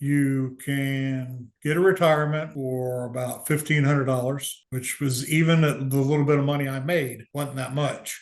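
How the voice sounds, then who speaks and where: In an unremarkable speaking voice with an American accent, a man talks at a moderate pace and fairly high pitch with fairly even intonation. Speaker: cancer survivor and navy veteran. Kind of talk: interview testimony. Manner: casual.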